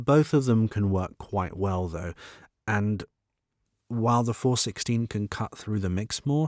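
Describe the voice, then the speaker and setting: A man with a British accent talks at a fairly low pitch with ordinary pitch variation. The recording is very clean and dry, close with no echo, over a silent background. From Britain. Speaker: voiceover artist. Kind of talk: tutorial.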